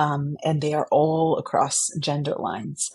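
A woman with an American accent speaks at a very slow pace. Her voice is somewhat breathy and very deep and low. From Texas (San Antonio). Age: 40s. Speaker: theatre director and foundation program officer. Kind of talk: interview conversation. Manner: hesitant, many fillers.

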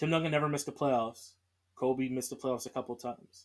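Here is a man with an American accent. He talks at a fairly high pitch. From US Northeast, Philadelphia. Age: 20s. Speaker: sports podcast host. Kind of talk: solo podcast monologue.

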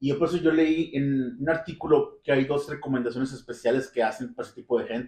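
Somewhat breathy and fairly high-pitched, a man speaks with ordinary pitch variation and big swings in loudness. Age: 40s. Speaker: podcast host. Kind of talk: casual chat.

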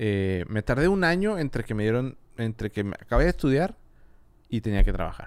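With an unremarkable speaking voice, a man delivers his words in lively intonation. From Mexico, Monterrey. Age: 30s. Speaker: audio engineer and videographer. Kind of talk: casual chat. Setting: studio.

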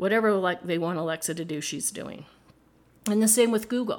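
In a very clean recording with a silent background, a woman speaks at medium pitch with ordinary pitch variation. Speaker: podcast host. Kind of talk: podcast monologue, informal teaching. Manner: upbeat, enthusiastic.

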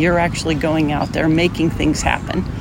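A woman with a very deep, low voice speaks at a moderate pace over noticeable background noise. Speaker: podcast host. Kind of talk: casual chat.

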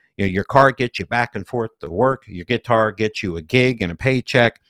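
In a very clean recording with a silent background and a dry, close sound with no echo, a man uses a plain, everyday voice at a moderate pace with ordinary pitch variation. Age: 50s. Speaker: music producer and podcast host. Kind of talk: casual chat.

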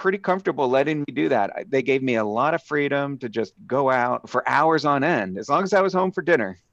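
Against a quiet background, a man with an American accent uses a plain, everyday voice. His pitch is medium and his intonation lively. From Southeast Pennsylvania (Philadelphia suburbs). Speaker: evolutionary biologist. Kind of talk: interview.

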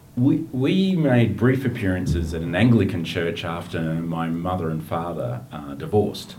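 A man with an Australian accent speaks in a very deep, low pitch with lively intonation. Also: moderate pace. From Australia, outer eastern Melbourne. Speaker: aid worker and writer. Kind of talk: interview conversation.

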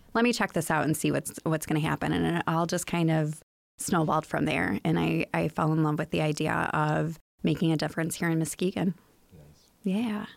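A woman with an American accent, very deep and low in pitch with vocal fry, at a fairly quick pace with ordinary pitch variation and very even loudness, on a very clean recording with a silent background. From US Midwest, Chicago area. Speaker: museum executive director. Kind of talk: casual interview.

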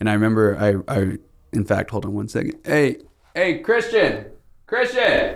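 The man keeps to a moderate pace. The recording is very clean, and the background is silent. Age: 20s. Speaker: podcast host. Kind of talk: casual interview chat.

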